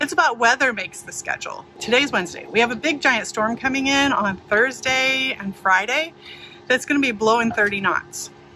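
A woman talks in a raised, projected voice at a moderate pace. The sound is dry with no echo, and light background noise sits underneath. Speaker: sailing vlogger. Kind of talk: casual vlog chat. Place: boat. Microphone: phone near.

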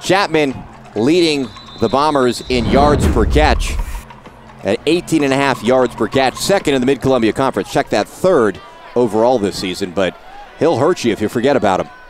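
A man speaks with lively intonation over faint music in the background. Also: dry sound with no echo. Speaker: play-by-play sports commentator. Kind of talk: live high school football play-by-play, rapid-fire calling of a fourth-and-inches punt. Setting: broadcast booth at a stadium. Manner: excitable, exclaiming and self-correcting mid-play; animated and playful, teasing players and laughing.

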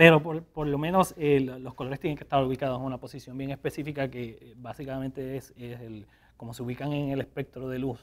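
Fairly even in intonation, a man speaks at a fairly quick pace. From Puerto Rico. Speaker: painter; guest. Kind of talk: interview. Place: studio.

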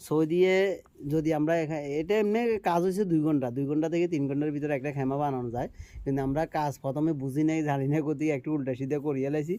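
The man's voice is fairly high in pitch yet dark and mellow in tone. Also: ordinary pitch variation. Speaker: vlogger, migrant worker. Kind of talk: casual vlog talk.

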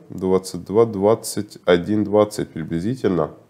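Speaking very slowly against a quiet background, a man has a very deep, low voice with a dark, mellow tone and ordinary pitch variation. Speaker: market analyst. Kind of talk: market analysis video. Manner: halting, with filler sounds. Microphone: webcam.

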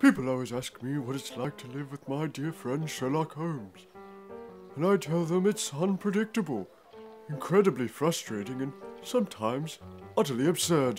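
A man's put-on character voice, fairly high in pitch, at a moderate pace over clear music in the background. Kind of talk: trailer voice-over narration.

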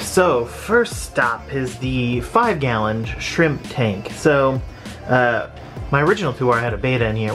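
A man's voice over clear background music. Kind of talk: casual vlog chat. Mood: slightly rueful. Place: home room. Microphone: phone near.

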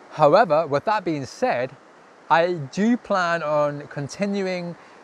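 This man has a Scottish accent and a fairly high pitch. Light background noise can be heard. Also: dry sound with no echo. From Scotland. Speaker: travel vlogger. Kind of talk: casual talk to camera. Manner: hesitant, casual. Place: waterside. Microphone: lapel.

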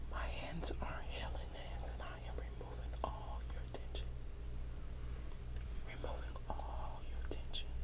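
The speech moves at a fairly slow pace. Long, frequent pauses break it up. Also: woman. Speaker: ASMR creator. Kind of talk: ASMR whisper for sleep. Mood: calm, caring. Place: home room. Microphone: earbuds.

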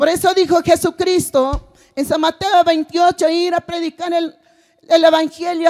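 Against a quiet background, a woman with an extremely high pitch talks at a fairly slow pace with fairly even intonation. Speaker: preacher. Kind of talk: sermon. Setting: church with congregation. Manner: repeats phrases, rhetorical questions to congregation. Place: stage. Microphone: handheld.

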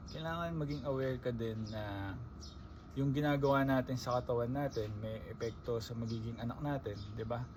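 The somewhat breathy voice moves with ordinary pitch variation, and audible room echo surrounds it. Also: man, medium pitch for a man, fairly quick pace. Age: 20s. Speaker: vlogger. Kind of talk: casual monologue. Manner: conversational.

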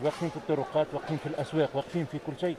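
A man is heard in a dry sound with no echo, with crowd noise in the background. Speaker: TV reporter. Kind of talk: on-location TV report. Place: market. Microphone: handheld.

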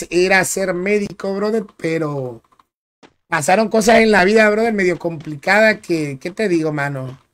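A man with a high pitch in a Dominican accent. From Dominican Republic. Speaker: gaming streamer. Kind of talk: live gameplay commentary. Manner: animated.

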